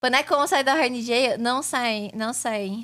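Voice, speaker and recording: Bright and sharp in tone, a woman speaks animatedly at a fairly slow pace and a high pitch, in a very clean recording with a silent background. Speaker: VTuber streamer and digital artist. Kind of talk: casual live stream chat. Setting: live stream.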